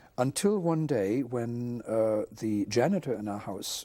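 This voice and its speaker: Over a silent background in a very clean recording, a man speaks. His voice sits at a medium pitch with a dark, mellow tone. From Germany, Potsdam. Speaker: Holocaust survivor. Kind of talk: oral history interview. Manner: halting, many fillers.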